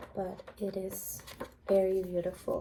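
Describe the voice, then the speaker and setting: A woman speaks at a medium pitch. She is soft-spoken. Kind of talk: ASMR role play, soft-spoken library clerk.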